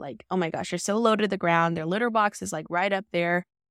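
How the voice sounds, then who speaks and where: A woman's ordinary speaking voice at a medium pitch with ordinary pitch variation, in a very clean recording with a silent background and a dry, close sound with no echo. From US South, Decatur, Alabama. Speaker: podcast host, product design manager. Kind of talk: casual monologue. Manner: casual, filler-heavy.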